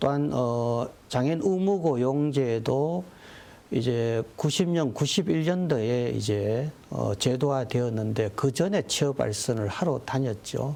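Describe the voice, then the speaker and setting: Keeping his loudness very even, a man speaks at a very slow pace in a dark, mellow tone. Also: medium pitch for a man, lively intonation. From South Korea, North Gyeongsang (Andong, Daegu). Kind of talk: TV interview. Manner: frequent fillers, hesitant.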